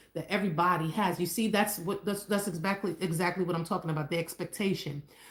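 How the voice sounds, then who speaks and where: A woman speaks in a somewhat breathy voice. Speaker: married couple co-host of relationship livestream. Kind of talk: live stream chat. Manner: stutters often; casual, hesitant with fillers.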